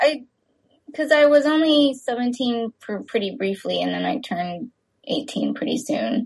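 A woman with an American accent speaks in a high voice at a moderate pace, her intonation lively. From Texas. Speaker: filmmaker. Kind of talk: interview. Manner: hesitant, many fillers.

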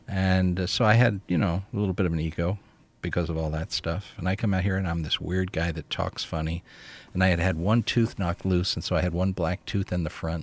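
With an American accent, a man speaks at a fairly quick pace in a very deep, low voice with fairly even intonation. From New Jersey. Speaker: CEO coach and author. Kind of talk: casual interview conversation. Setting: radio studio.

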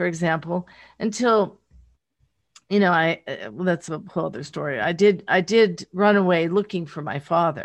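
A woman talks at a moderate pace with ordinary pitch variation. Her pitch is fairly low, and the background is quiet. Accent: American. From rural Pennsylvania, Pittsburgh area. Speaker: memoir author, entertainment executive. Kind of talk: interview. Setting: remote call. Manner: halting, many fillers and restarts.

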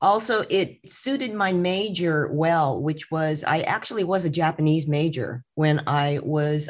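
On a very clean recording with a silent background, a woman with a very deep, low pitch speaks at a fairly slow pace with ordinary pitch variation. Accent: Californian. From Southern California (Redlands). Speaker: museum director. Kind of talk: interview.

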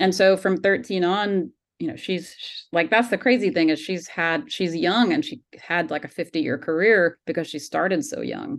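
Against a quiet background, a woman with an American accent speaks at a moderate pace with hardly any pauses, using an unremarkable speaking voice, a medium pitch and lively intonation. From US South, Georgia. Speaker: documentary filmmaker. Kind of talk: interview.

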